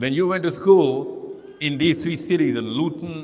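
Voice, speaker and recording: With audible room echo and noticeable background noise, a man with a fairly high pitch speaks at a fairly slow pace. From Pakistan. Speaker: Islamic speaker. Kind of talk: live talk with audience Q&A. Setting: stage with audience. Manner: animated.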